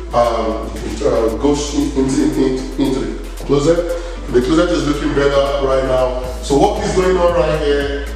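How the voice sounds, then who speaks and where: Against faint background music and strong room echo, a man speaks at a moderate pace. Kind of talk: casual walkthrough tour. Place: home room. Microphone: camera far.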